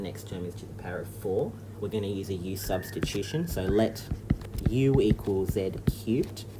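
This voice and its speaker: With an Australian accent and ordinary pitch variation, the voice comes through audible room echo and noticeable background noise. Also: man. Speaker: maths teacher. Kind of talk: tutorial.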